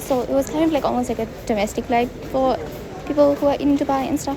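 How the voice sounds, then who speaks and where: Music plays in the background. A woman talks at a very fast pace with ordinary pitch variation. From South Africa. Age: 20s. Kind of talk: travel vlog voice-over. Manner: casual, chatty.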